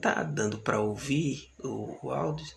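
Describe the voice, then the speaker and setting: Soft-spoken and fairly low in pitch, a man talks amid audible room echo. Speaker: bible teacher. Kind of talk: lecture.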